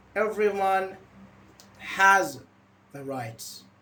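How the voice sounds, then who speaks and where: There is audible room echo around a man whose intonation is lively. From Iran. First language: Persian. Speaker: English teacher. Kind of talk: online class.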